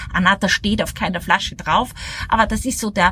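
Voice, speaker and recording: Background noise is noticeable throughout. Over it, a woman talks. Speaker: wine podcast host. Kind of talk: casual interview. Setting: outdoors at a table by a villa.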